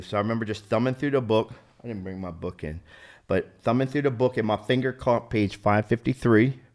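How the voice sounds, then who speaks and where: Recorded very cleanly against a silent background, a man with an American accent and an ordinary speaking voice talks at a fairly quick pace with fairly even intonation. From South Jersey, US. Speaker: recovering addict and army veteran. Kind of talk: testimony.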